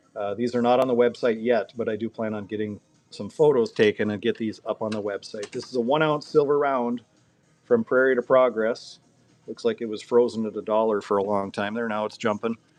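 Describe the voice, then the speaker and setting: Over music in the background, a man with a medium-pitched voice speaks at a fairly quick pace with fairly even intonation. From North Dakota. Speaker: coin dealer running a live auction. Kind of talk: live auction stream.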